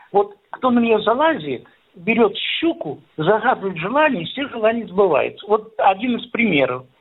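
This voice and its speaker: A man talks in a high voice with lively intonation. His pace is moderate. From Voronezh region, Russia. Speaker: farmer and village museum founder. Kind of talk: interview.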